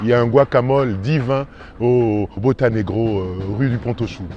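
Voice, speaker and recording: A medium-pitched man talks while noticeable background noise carries on. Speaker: actor. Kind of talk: casual interview answer about his neighbourhood.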